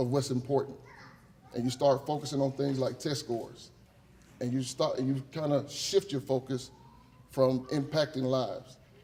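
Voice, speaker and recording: A man's fairly high-pitched, somewhat breathy voice with a dark, mellow tone, at a moderate pace with long, frequent pauses. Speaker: teacher. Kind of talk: acceptance speech. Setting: stage with audience. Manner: animated.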